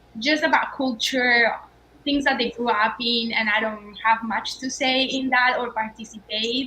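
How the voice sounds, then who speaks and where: A woman in a Colombian accent speaks at a fairly slow pace with a high pitch and fairly even intonation, against noticeable background noise. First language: Spanish. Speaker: startup founder. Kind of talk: panel discussion.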